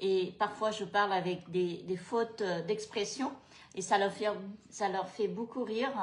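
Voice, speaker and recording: This woman has a medium pitch and a Cambodian accent. Noticeable background noise runs behind her voice. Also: fairly even intonation. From Cambodia, moved to France at 13. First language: Khmer (speaking French). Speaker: food and travel vlogger. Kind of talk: casual chat. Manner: hesitant, many fillers.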